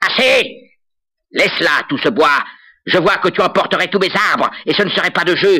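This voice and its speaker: A man's loud, creaky, high-pitched put-on character voice at a moderate pace, with long, frequent pauses. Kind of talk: folk tale acting. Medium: read story. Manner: loud, blustering.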